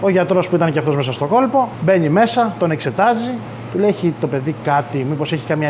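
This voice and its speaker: A man talks at a fairly quick pace and a fairly high pitch, his intonation lively, with noticeable background noise throughout. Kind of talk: family storytelling in interview.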